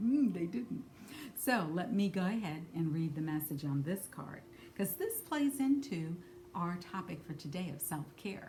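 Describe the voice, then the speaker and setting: A woman uses a normal speaking voice at a fairly low pitch. Her intonation is lively and her pace moderate. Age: 60s. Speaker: spiritual card reader. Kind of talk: card reading talk to camera. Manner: casual with frequent fillers.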